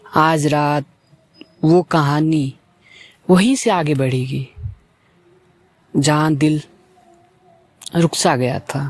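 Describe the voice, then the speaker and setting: Long, frequent pauses break up this man's speech. His pitch is fairly high and his intonation fairly even. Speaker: talk show host. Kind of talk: late-night soulful talk show. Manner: slow, reflective.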